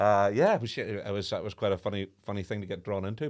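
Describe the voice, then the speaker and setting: A man with a Northern Irish accent at a medium pitch and fairly quick pace, on a very clean recording with a silent background. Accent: Northern Irish (Belfast). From Northern Ireland, Belfast. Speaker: former radio presenter and drummer. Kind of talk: casual interview chat.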